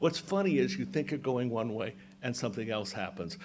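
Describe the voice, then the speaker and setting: A man's voice with very wide pitch swings. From Maine. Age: 60s. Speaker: humorist. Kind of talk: storytelling and talk to a breakfast audience. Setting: hotel event with live audience. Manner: animated.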